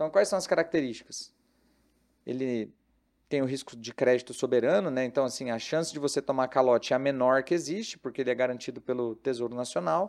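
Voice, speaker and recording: A man in an ordinary speaking voice talks at a fairly quick pace, fairly high in pitch with lively intonation, on a very clean recording with a silent background. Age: 30s. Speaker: investment advisor. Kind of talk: casual chat.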